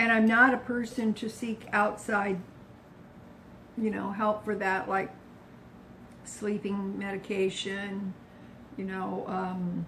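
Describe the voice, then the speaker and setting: A woman's medium-pitched, monotone voice with flat intonation, very slow pace, long and frequent pauses, and noticeable background noise. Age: 70s. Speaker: low-carb lifestyle vlogger. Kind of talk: casual talk to camera. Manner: chatty, relaxed.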